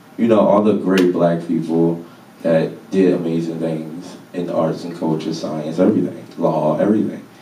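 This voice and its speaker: A man with a very deep, low voice talks at a fairly slow pace. Noticeable background noise and audible room echo surround him. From Baltimore, Maryland, US. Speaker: artist and lecture speaker. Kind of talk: public talk. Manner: casual, conversational.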